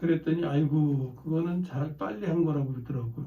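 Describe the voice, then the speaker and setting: Audible room echo surrounds a man's fairly high, somewhat breathy voice. His tone is dark and mellow. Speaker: pastor. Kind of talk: sermon. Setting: church. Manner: slow and clearly enunciated.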